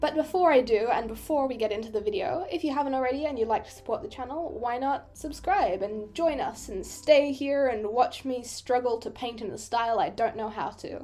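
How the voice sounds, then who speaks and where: The speech comes at a fairly quick pace with hardly any pauses. Its intonation is lively, with an Australian accent. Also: woman, high pitch for a woman. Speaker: digital artist, YouTuber. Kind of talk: casual voiceover commentary. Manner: chatty, self-deprecating rambling.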